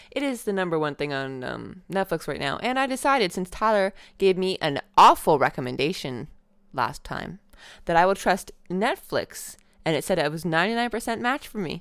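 In a very clean recording with a silent background, a woman at a medium pitch talks at a moderate pace with vocal fry and very wide pitch swings. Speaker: podcast host. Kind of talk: casual chat.

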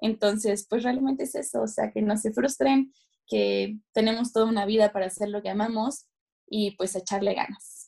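A woman's somewhat breathy, fairly high voice with a dark, mellow tone, ordinary pitch variation and a moderate pace. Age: 20s. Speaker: fashion journalist. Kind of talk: interview.

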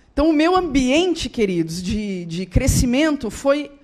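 A woman speaks at a fairly slow pace in a high voice. Noticeable background noise runs underneath. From Rio Grande do Sul, southern Brazil. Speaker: guest speaker and author. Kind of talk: testimony. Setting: church.

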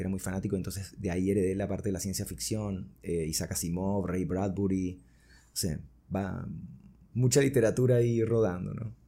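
At a moderate pace, a man speaks in a very deep, low voice with a dark, mellow tone and ordinary pitch variation. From Venezuela (Caracas), born in Buenos Aires. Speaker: singer-songwriter and music producer. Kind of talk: interview conversation.

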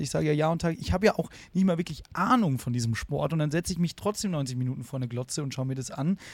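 At a very fast pace with hardly any pauses, a man talks in a somewhat breathy, fairly high voice with lively intonation. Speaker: podcast co-host. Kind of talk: casual chat. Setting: video call.

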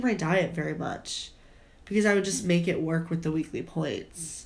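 A woman speaks at a fairly slow pace, her somewhat breathy voice carrying an animated tone. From US Midwest. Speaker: podcast co-host, college student. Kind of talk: casual chat. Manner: animated, laughing often.

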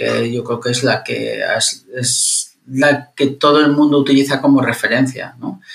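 A man talks at a fairly slow pace in a fairly high pitch. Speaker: engineering professor. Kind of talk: interview conversation. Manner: engaging pleasant pace.

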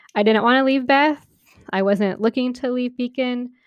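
With ordinary pitch variation, a woman's speech moves at a moderate pace. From Oklahoma City, raised from age six. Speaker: podcast co-host. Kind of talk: casual chat.

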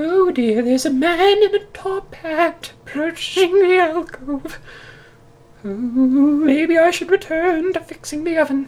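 This put-on character voice has an extremely high pitch. Its delivery is fairly slow. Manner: polite, timid, earnest.

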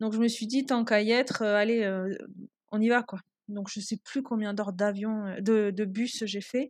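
A woman speaks at a fairly slow pace. Her fairly high voice stays monotone and flat. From Toulouse, southern France. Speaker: traveller and guesthouse owner. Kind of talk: interview storytelling. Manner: hesitant, many fillers.

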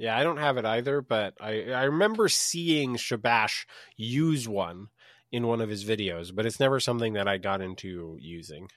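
A man in a normal speaking voice, medium in pitch, with lively intonation at a moderate pace against a quiet background. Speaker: podcast host. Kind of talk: casual chat. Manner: joking, playful.

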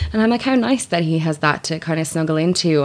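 Against a quiet background, a woman with an Irish accent speaks with very wide swings in pitch. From Ireland. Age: 30s. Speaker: radio presenter and writer. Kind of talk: casual chat.

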